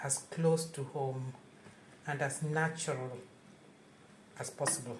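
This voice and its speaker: In a Kenyan accent, a woman speaks very slowly with a very deep, low pitch and fairly even intonation, with audible room echo. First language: Luo. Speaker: home cook. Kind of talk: cooking tutorial.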